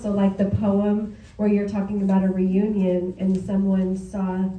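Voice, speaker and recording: A woman talks at a medium pitch and a moderate pace, her intonation monotone and flat. Noticeable background noise and audible room echo are present. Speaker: writers club organizer. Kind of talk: casual remarks to audience. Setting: writers club meeting, room with audience. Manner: loud.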